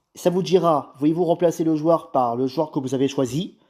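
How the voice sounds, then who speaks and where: In a very clean recording with a silent background, a man with a dark, mellow tone and a fairly high pitch speaks at a moderate pace with ordinary pitch variation. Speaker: YouTuber. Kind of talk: tutorial.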